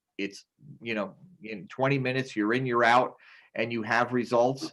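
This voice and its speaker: A man talks at a moderate pace and medium pitch. It is an ordinary speaking voice with fairly even intonation. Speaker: school district superintendent. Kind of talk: board meeting report.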